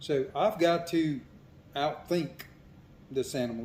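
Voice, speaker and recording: A man with a Mississippi accent speaks at a very slow pace. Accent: Southern US (Mississippi). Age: 60s. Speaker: hunter. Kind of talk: interview. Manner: casual, with many fillers.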